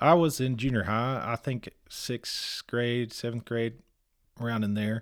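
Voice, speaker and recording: On a very clean recording with a silent background and a dry, close sound with no echo, a man with a Texan accent speaks at a fairly slow pace, at medium pitch with ordinary pitch variation. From Texas. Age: 40s. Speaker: church member. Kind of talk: casual chat.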